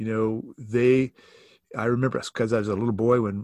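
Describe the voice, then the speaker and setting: At a moderate pace, a speaker with an American accent is heard in a very clean recording with a silent background, the sound dry and close with no echo. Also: man. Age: 60s. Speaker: church staff member and author. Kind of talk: casual interview conversation.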